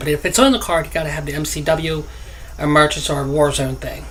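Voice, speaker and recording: Both noticeable background noise and audible room echo can be heard in the recording. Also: man. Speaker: gaming youtuber. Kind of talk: gameplay commentary. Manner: halting, stuttering.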